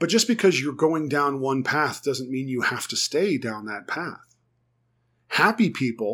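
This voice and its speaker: Speaking with an American accent, a man uses a fairly high pitch with very wide pitch swings at a fairly slow pace, on a very clean recording with a silent background. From United States. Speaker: therapist. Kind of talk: solo podcast talk on psychology.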